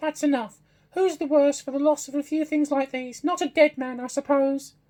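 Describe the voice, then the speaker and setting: A man puts on a character voice, talking at a moderate pace in an extremely high pitch. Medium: read story. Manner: bold, defiant.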